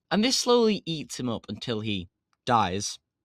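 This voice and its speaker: A man on a very clean recording with a silent background, the sound dry and close with no echo. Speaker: comics video creator. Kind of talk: casual commentary video. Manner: animated.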